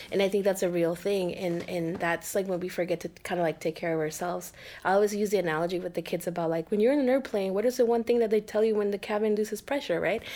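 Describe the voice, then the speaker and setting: A woman with a dark, mellow tone talks at a very fast pace with hardly any pauses. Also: medium pitch for a woman, ordinary pitch variation. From Mexico City, Mexico. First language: Spanish. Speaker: mental health professional. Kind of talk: interview.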